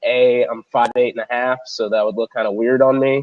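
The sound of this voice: Nasal and slightly mellow, a man speaks at a medium pitch.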